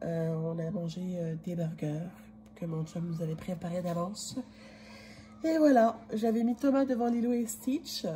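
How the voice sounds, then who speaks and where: Speaking fairly slowly with long, frequent pauses, a woman uses lively intonation in a dark, mellow, somewhat breathy voice of medium pitch. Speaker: vlogger. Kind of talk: casual vlog talk to camera. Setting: indoors, kitchen. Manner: halting, many fillers.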